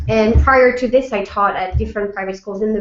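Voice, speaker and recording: Amid noticeable background noise, a woman speaks with a French accent. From France. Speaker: French teacher. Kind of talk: school information webinar. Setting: live video webinar.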